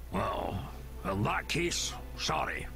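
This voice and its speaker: Loud background noise plays behind a put-on character voice. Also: man. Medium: game stream. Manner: gruff, blunt.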